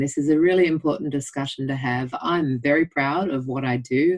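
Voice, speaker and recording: With an Australian accent, a woman speaks at a moderate pace with ordinary pitch variation. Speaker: general practitioner. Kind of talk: interview.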